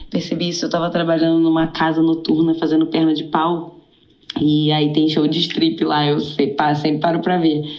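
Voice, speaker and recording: Amid noticeable background noise and audible room echo, a woman speaks in a very deep, low pitch, monotone and flat, with very even loudness. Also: moderate pace. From Rio de Janeiro, Brazil. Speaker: caller. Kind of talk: casual chat.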